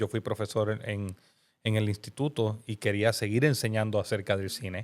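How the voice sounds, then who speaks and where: In a very clean recording with a silent background, a man talks at a medium pitch and a fairly quick pace. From Puerto Rico, Bayamón. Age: 40s. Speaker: pastor and filmmaker. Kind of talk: podcast interview. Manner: animated.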